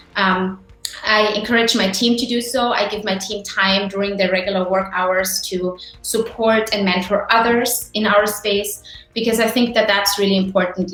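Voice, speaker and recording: With music in the background, a woman speaks at medium pitch in a non-native accent, her intonation monotone and flat. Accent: non-native accent people notice. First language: not English. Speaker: tech startup founder. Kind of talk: virtual panel presentation.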